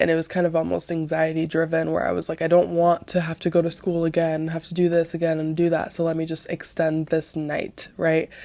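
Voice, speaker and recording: The speaker is soft-spoken, captured in a very clean recording with a silent background. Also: woman. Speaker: podcast host. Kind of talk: casual monologue podcast. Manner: quiet.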